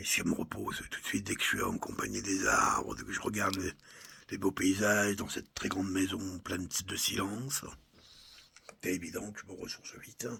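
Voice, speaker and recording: A man with a fairly low pitch and monotone, flat intonation at a fairly quick pace. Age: 60s. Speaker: personal video blogger. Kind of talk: personal reflective monologue. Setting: countryside home. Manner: halting.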